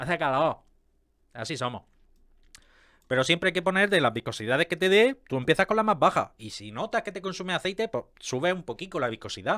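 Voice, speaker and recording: A man talks at a fairly quick pace in an animated tone, his high pitch swinging very widely. The background is quiet. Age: 30s. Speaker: YouTuber on car maintenance. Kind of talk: casual video commentary. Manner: halting, with many fillers and repetitions. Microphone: studio mic.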